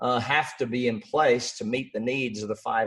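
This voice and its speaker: A man speaks with an Australian accent. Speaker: business coach and author. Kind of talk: interview.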